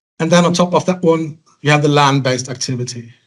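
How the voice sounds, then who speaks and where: This man has a fairly high pitch and fairly even intonation. He speaks at a moderate pace. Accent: Norwegian. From western Norway. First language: Norwegian. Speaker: salmon feed industry speaker. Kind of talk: conference presentation. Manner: halting.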